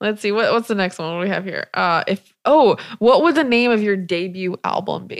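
Speaking with an American accent, a woman uses a normal speaking voice at medium pitch and a moderate pace. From US South Carolina. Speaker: podcast host. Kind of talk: casual chat.

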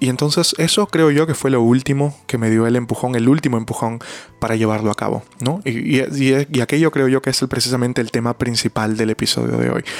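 A man with a medium-pitched voice talks at a fairly quick pace. His pitch varies in an ordinary way, with hardly any pauses. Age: 20s. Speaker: podcast host and interpreter. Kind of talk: solo podcast monologue. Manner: halting.

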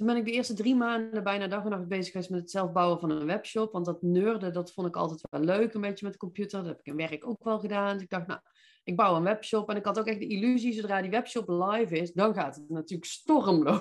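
In a Brabant accent, the speaker rushes at a very fast pace with an energetic tone, hardly any pauses and ordinary pitch variation over a quiet background. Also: woman, medium pitch for a woman. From Netherlands, North Brabant (Veldhoven). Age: 40s. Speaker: business mindset coach. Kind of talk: podcast interview. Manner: direct.

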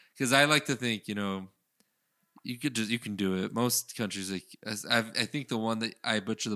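Recorded very cleanly against a silent background, this man's fairly low voice has a bright, sharp tone, a dry, close sound with no echo, fairly even intonation and a moderate pace. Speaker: podcast co-host. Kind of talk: casual chat.

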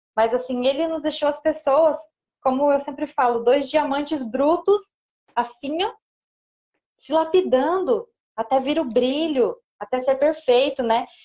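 A woman's high, dark, mellow voice at a fairly slow pace, with ordinary pitch variation and long, frequent pauses. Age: 30s. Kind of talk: interview / faith talk on live stream. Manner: animated, frequent laughter.

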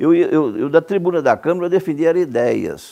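Talking at a moderate pace, a man uses a fairly high pitch with vocal fry. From Brazil, Goiás (Cumari, rural). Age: 70s. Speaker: lawyer and former politician. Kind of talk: interview. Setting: at his home.

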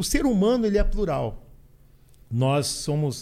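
A man's dark, mellow voice carries lively intonation. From southern Brazil, Porto Alegre. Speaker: business consultant and motivational speaker. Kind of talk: podcast interview. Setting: studio.

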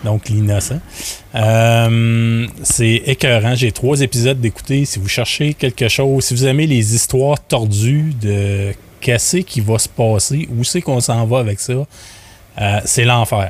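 A man's somewhat breathy voice at a medium pitch, with ordinary pitch variation and a very slow pace. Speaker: podcast founder and business owner. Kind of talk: casual chat.

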